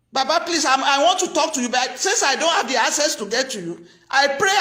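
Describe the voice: A woman talks at a fairly quick pace with lively intonation and a high pitch. Her tone is bright and sharp, and the room echo is audible.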